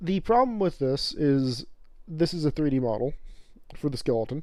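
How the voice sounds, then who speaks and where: A man with an American accent speaks in a dark, mellow tone at a fairly high pitch, with lively intonation and a moderate pace. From northern Colorado, US. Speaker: streamer. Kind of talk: casual live-stream commentary. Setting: live stream at home. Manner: loud; halting, filler-heavy.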